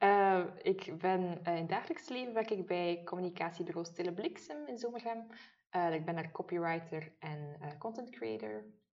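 With a slight West Flemish accent, a woman speaks at a moderate pace in a fairly low pitch, with lively intonation. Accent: slight West Flemish-tinged Flemish. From Maldegem, East Flanders, Belgium. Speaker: podcast co-host, beauty blogger. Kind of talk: casual chat.

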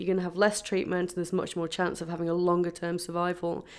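The voice carries an English accent. The recording is very clean, with a silent background. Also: woman. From England. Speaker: epidemiologist. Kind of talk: interview.

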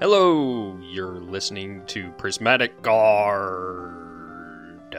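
Over clear background music, a put-on character voice speaks at a very slow pace. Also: man, fairly low pitch for a man. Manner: pirate-style delivery.

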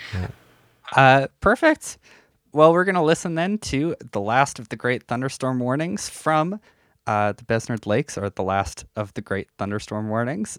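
Dry and close with no echo on a very clean recording with a silent background, a man speaks at a fairly slow pace in a medium pitch, with very wide pitch swings and big swings in loudness. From Canada, Saskatchewan. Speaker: podcast host. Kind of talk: interview.

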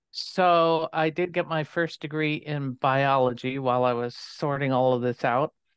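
A woman speaks with a very deep, low pitch and fairly even intonation. Her pace is moderate, with hardly any pauses. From US, moved often as child (born North Dakota, raised partly in DC). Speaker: nursing professor. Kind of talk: interview.

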